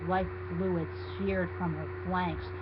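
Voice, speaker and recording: Over noticeable background noise, the speech comes at a fairly slow pace in a monotone, flat intonation. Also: man. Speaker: fanfiction reader. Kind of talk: dramatic reading.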